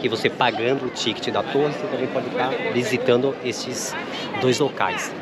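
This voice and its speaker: Crowd noise fills the background as a man speaks at a moderate pace in a dry sound with no echo. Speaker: travel vlogger. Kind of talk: casual vlog chat. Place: street. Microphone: phone near.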